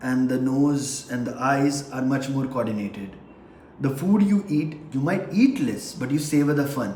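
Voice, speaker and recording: With audible room echo and noticeable background noise, a man with a fairly high voice speaks at a moderate pace and ordinary pitch variation. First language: not English. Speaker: vlogger. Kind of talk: casual monologue. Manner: halting.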